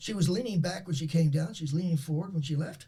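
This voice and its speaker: A man with a high pitch talks in an animated tone. His pace is fairly quick. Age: 70s. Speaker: performance psychologist. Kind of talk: interview storytelling.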